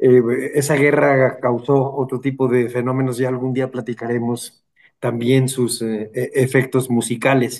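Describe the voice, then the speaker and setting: Medium-pitched male voice, monotone and flat, at a fairly slow pace. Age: 70s. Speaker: radio host, historian. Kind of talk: radio interview. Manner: halting, many fillers.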